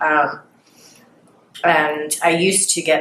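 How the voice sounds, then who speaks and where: In an American accent, a woman speaks with monotone, flat intonation. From Philadelphia, Pennsylvania. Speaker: former addiction treatment patient. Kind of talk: interview answer.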